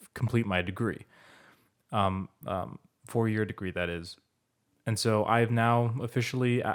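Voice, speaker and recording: A man's fairly low voice at a moderate pace. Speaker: podcast host. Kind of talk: casual chat. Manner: monotone; hesitant, many fillers.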